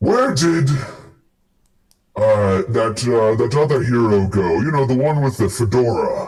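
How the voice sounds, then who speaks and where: A man of medium pitch puts on a character voice. He speaks at a fairly slow pace with long, frequent pauses. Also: ordinary pitch variation, very even loudness. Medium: actual play.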